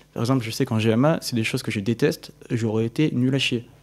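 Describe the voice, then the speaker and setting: A very fast pace and fairly even intonation on a very clean recording with a silent background. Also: man. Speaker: engineering student. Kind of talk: casual interview.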